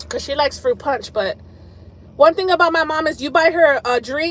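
A woman speaks in a high voice. The sound is dry, with no echo. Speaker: live streamer. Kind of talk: casual live stream chat. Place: car. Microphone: phone near.

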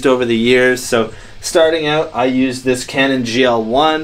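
A man speaks at a moderate pace with fairly even intonation. His loudness stays very even. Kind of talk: casual vlog chat. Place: home room.

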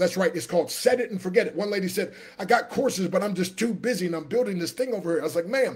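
A man speaks in an animated tone at a high pitch, with ordinary pitch variation over a quiet background. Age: 60s. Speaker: motivational speaker and business coach; motivational speaker, business coach. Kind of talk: live stream sales pitch. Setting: live video stream. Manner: animated, preacher-like. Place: home room. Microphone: webcam.

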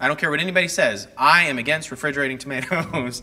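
Talking at a very fast pace, a man with a Texan accent has a fairly high pitch, a bright, sharp tone and ordinary pitch variation. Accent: Texan American English. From North Texas. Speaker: horticulturist giving a gardening class; presenter. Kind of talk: lecture. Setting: classroom with live audience, on a mic. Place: hall. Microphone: lapel.

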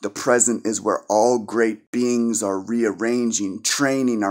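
A man with a fairly low pitch speaks slowly in monotone, flat intonation against a quiet background. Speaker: poet. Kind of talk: spoken word poetry, performed poem. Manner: earnest, impassioned, preachy tone. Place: home room. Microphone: phone near.

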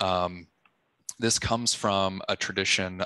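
A man with a very deep, low pitch speaks very slowly in a gentle tone, with a dry sound with no echo and a quiet background. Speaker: museum docent program manager. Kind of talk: vivid descriptive guided tour of a painting for low-vision listeners. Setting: video call. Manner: slow, scene-painting narration layering detail on detail; gentle, evocative, with frequent uh fillers. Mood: calm, gentle, descriptive. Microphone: video call.

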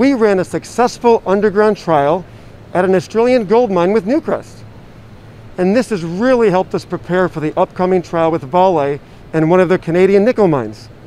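A man's high-pitched voice, fairly quick, dry with no echo. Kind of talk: interview answer. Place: hall. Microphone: handheld.

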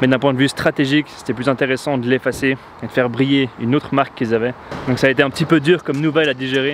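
Speaking at a very fast pace, a man keeps a monotone, flat intonation over light background noise, with a dry sound and no echo. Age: 20s. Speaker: entrepreneur, marketing agency founder. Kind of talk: casual vlog talk to camera. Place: street. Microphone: lapel.

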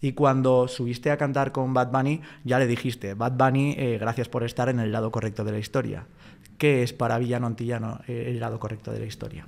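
In a Spanish accent, a man speaks at a medium pitch and a fairly quick pace. His intonation stays fairly even. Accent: Peninsular Spanish. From Spain. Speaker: interviewer. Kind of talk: interview. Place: studio. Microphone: studio mic.

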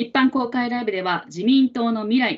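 Over a quiet background, a woman talks at a moderate pace. Her voice is somewhat breathy. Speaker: livestream host. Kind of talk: live talk show moderating. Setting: live stream studio. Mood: polite, calm. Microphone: video call.

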